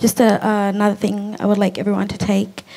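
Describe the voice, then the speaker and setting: Speaking at a moderate pace, a woman delivers the lines. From Australia. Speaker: artist's great-grandchild; guest. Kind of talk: panel discussion. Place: garden. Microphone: handheld.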